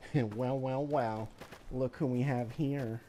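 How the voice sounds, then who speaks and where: A man puts on a nasal character voice at a medium pitch. His intonation is fairly even and his pace fairly slow. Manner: taunting villain.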